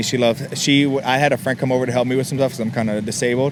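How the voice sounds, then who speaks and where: Over noticeable background noise, a man talks very fast at a medium pitch with fairly even intonation. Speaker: car enthusiast. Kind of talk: interview answer. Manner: casual, hesitant with fillers.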